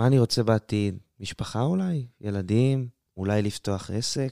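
The voice has a dark, mellow tone, captured with a dry, close sound, no echo and a very clean, silent background. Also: man. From Israel, southern Sharon. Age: 20s. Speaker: university student. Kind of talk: casual interview.

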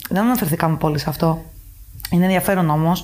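Fairly low in pitch, a woman talks with fairly even intonation in an unremarkable speaking voice. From Greece, Athens and Paros. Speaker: expat office worker. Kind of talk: casual chat.

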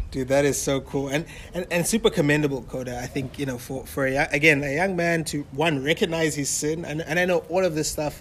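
Speaking at a moderate pace, a man with a plain, everyday voice uses a fairly high pitch and ordinary pitch variation. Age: 20s. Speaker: podcast host. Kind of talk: casual interview. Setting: new recording location, poor audio.

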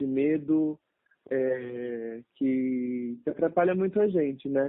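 Very slow speech from a man, his pitch varying in an ordinary way. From São Paulo, Brazil. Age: 20s. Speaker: medical student. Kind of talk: casual interview. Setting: phone call. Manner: halting.

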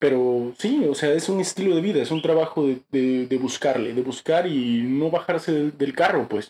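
A man with a fairly high pitch and a dark, mellow tone, at a moderate pace with hardly any pauses, very even loudness and ordinary pitch variation. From Mexico, Chiapas (Tuxtla Gutiérrez). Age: 20s. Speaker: theatre actor and director. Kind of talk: interview. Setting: studio.

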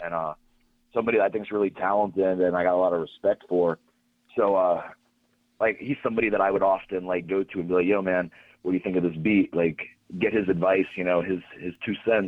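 A man talks with a very deep, low pitch and fairly even intonation. He has an American accent. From Pittsburgh, Pennsylvania. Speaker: pro wrestler and music producer. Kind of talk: casual interview.

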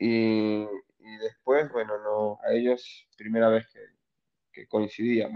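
Speaking at a very slow pace with long, frequent pauses, a man holds a medium pitch in a monotone, flat delivery while his loudness swings widely. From Venezuela, Anzoátegui (eastern). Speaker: stand-up comedian. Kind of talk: casual interview.

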